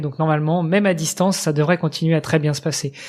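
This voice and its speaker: The speaker is a man with a high voice. His intonation stays fairly even. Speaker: podcast host. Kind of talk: casual chat. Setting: remote recording from computer.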